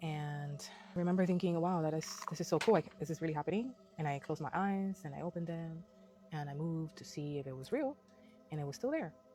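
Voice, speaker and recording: Quiet and very fast, a woman with a non-native accent speaks at a fairly low pitch with ordinary pitch variation while music plays in the background. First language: Spanish. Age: 20s. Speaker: hairstylist and spiritual vlogger. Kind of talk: casual personal vlog monologue. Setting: outdoors in nature. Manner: quiet, low; hesitant, unprepared.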